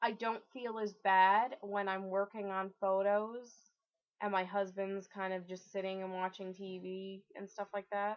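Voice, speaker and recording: At a fairly slow pace, a woman speaks with monotone, flat intonation. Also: medium pitch for a woman. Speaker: video blogger. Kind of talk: casual vlog. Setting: at home alone. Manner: loud.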